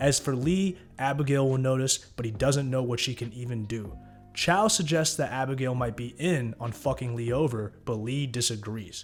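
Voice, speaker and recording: Over background music, a man speaks at a moderate pace with hardly any pauses, using a medium pitch and ordinary pitch variation. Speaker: YouTube TV show recapper. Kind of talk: TV episode recap narration.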